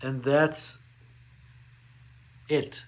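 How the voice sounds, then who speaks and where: A man's fairly high voice, very slow in pace, with fairly even intonation. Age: 60s. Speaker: beauty vlogger. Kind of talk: product review tutorial. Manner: casual, with frequent fillers.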